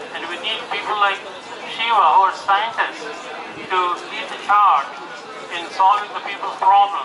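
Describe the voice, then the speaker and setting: A man talks at a moderate pace in a high pitch, his intonation fairly even. There is audible room echo and noticeable background noise. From India. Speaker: doctor. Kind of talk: political rally speech. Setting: outdoors.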